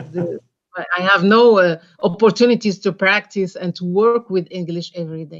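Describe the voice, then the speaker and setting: A woman talks at a moderate pace with a medium pitch and fairly even intonation. Her loudness swings widely. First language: French or Arabic. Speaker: webinar participant. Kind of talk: Q&A comment. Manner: halting.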